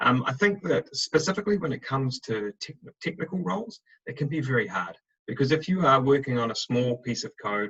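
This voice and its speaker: Dry and close with no echo, a man's voice sits at a medium pitch with a bright, sharp tone and a New Zealand accent. He moves at a fairly quick pace while his pitch swings very widely. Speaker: recruitment director. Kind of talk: webinar presentation. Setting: video call. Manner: fast.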